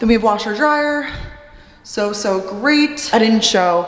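With music in the background and audible room echo, a woman speaks at a fairly slow pace with lively intonation. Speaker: vlogger. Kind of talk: casual vlog chat. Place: empty room. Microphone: phone near.

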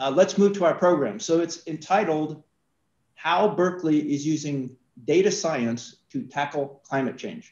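In a room with audible echo, a man speaks at a fairly slow pace in a fairly high voice with ordinary pitch variation. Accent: American. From New York. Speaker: alumnus supporter and event convener; event host. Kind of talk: event introduction. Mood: warm, cheerful. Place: office. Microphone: video call.

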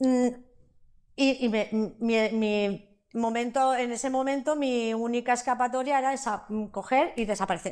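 A woman's high voice at a fairly slow pace, with fairly even intonation and a quiet background. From Valencia region, Spain (Sueca). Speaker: interviewee sharing life story. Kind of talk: interview testimony. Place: studio. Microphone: lapel.

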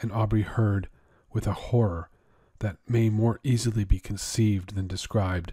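The intonation is fairly even as the text is read aloud in a natural voice.

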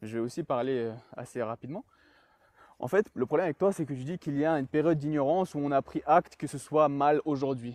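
At a fairly quick pace, a man speaks at a fairly high pitch with ordinary pitch variation, the sound dry with no echo. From France, raised from age 3 (born in Chechnya). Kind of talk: heated debate. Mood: argumentative but calm. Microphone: video call.

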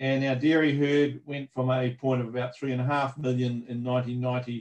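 A man speaks with a New Zealand accent in a flat, monotone delivery. The background is quiet. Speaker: agricultural research manager. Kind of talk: webinar presentation. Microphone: video call.

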